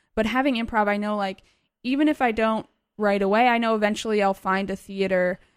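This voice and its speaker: A woman with an ordinary speaking voice and an American accent speaks at medium pitch with ordinary pitch variation, in a very clean recording with a silent background. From US East Coast (Virginia, then Boston). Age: 20s. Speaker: video game media producer. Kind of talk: casual interview.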